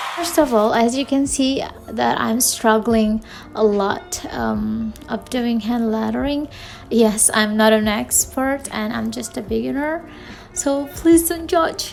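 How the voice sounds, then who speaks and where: Through noticeable background noise, a woman with an Indonesian accent speaks at a very slow pace. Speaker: new YouTuber. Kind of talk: channel introduction vlog. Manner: halting.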